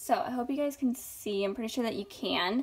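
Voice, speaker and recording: A woman's pitch shifts in an ordinary way on a very clean recording with a silent background. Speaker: tarot reader. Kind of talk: tarot reading to camera. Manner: halting, stumbling.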